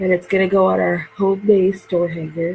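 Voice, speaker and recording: Over noticeable background noise, a woman at medium pitch speaks in a monotone, flat way. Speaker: craft video host. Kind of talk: craft tutorial. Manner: casual, chatty.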